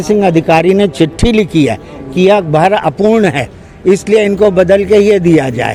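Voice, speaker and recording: The voice has ordinary pitch variation, and music plays in the background. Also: man. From Lucknow, northern India. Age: 70s. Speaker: retired government employee. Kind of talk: street interview complaint.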